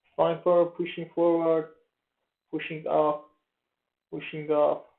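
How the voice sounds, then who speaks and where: Speaking with a Persian accent, a man keeps his high voice monotone and flat. His pace is very slow. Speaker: forex trader. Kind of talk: tutorial. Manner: halting, many fillers.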